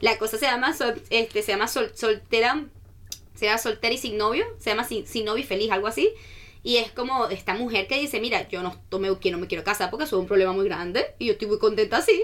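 Very fast pace with ordinary pitch variation on a very clean recording with a silent background. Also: woman, fairly high pitch for a woman. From Venezuela, Caracas. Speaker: student ambassador. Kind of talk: casual radio interview. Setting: radio studio. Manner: animated.

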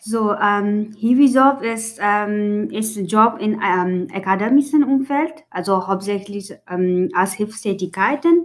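Over a very clean recording with a silent background, a woman speaks at a very slow pace and medium pitch with ordinary pitch variation. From Nepal. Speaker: international student. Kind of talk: casual interview. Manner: halting, many fillers.

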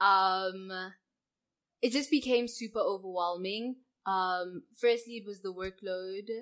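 Delivered at a very slow pace, the speech has ordinary pitch variation and big swings in loudness. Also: woman, medium pitch for a woman. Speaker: podcast co-host, university student. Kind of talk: casual chat.

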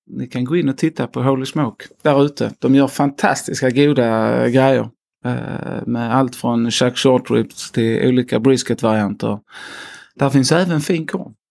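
A man speaks at a fairly slow pace in a Scanian accent, his pitch medium with ordinary variation. The recording is very clean, with a silent background. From Skåne, southern Sweden. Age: 30s. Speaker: slaughterhouse company executive. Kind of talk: interview. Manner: hesitant, many fillers.

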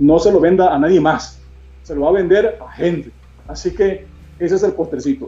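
A man keeps a moderate pace while noticeable background noise runs beneath his voice. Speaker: hospital chaplain and bean seller. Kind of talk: interview on a live video stream. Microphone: unstable internet connection.

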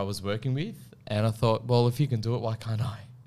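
A man with an Australian accent, medium in pitch, his intonation fairly even. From Australia, Melbourne. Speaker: property consultant. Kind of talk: casual interview. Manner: halting, many fillers and restarts.

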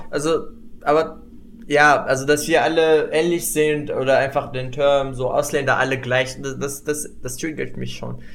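Over audible room echo, a man with a fairly high pitch speaks at a fairly slow pace in a monotone, flat way. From Morocco. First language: Moroccan Arabic (speaking German). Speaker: international student. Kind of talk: casual chat. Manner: halting.

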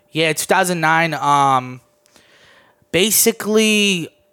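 With a Mid-Atlantic accent, a man speaks at a fairly high pitch. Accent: American, Mid-Atlantic. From Maryland, DC area (born in Armenia). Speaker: YouTuber. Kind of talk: casual chat.

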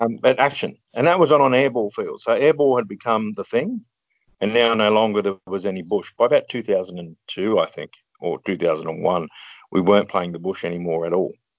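With an Australian accent, a man speaks at a moderate pace in a fairly low pitch, his intonation lively. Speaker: former competitive paintball player. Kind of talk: interview. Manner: halting.

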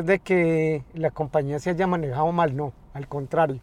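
Ordinary pitch variation at a fairly slow pace. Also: man. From Colombia, north of Valle del Cauca. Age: 50s. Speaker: taxi driver. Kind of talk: interview. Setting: in a car. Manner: halting, repeats words.

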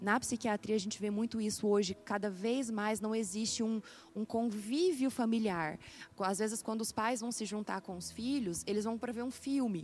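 A woman's somewhat breathy voice sits fairly high in pitch, moving at a moderate pace with ordinary pitch variation. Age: 20s. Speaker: psychiatry resident doctor. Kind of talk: interview.

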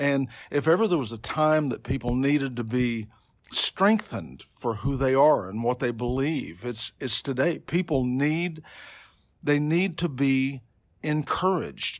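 The speaker has an American accent and lively intonation at a fairly slow pace. The recording is very clean, with a silent background. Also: man, fairly high pitch for a man. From Oklahoma City, US. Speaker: pastor. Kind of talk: interview. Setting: office.

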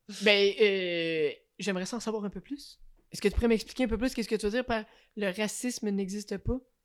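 Here is a woman with a normal speaking voice at a medium pitch. She talks at a fairly quick pace with ordinary pitch variation. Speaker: podcast co-host. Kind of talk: casual chat.

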